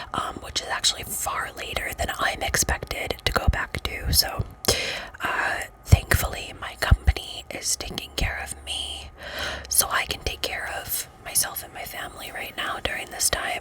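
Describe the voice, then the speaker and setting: Whispered speech from a woman, with noticeable background noise around it. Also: moderate pace. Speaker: ASMR creator. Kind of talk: ASMR whispered ramble. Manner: whispered, soft-spoken.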